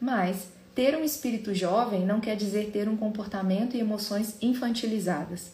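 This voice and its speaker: This woman's pitch variation is ordinary, and she speaks at a moderate pace. Audible room echo can be heard. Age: 30s. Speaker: psychologist. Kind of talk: podcast talk.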